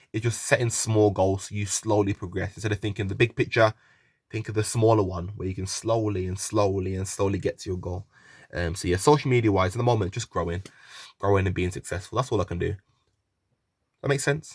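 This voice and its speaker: On a very clean recording with a silent background, a man with a fairly low, somewhat breathy voice speaks at a very fast pace with fairly even intonation. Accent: West Midlands. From West Midlands, England. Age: 20s. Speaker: YouTuber and young footballer. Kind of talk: casual Q&A vlog.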